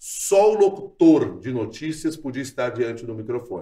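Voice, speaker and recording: A man speaks at a fairly slow pace, sounding somewhat breathy. His pitch swings very widely. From southern Brazil, Porto Alegre. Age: 50s. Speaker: radio journalist and news anchor. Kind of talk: casual interview.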